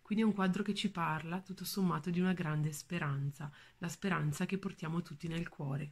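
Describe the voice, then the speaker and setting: A somewhat breathy woman's voice, fairly low in pitch, at a fairly quick pace. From northern Italy, Valle Imagna near Bergamo; northern Italy. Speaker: museum educator. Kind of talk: art talk. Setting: at home. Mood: warm, calm. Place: home room. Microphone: phone near.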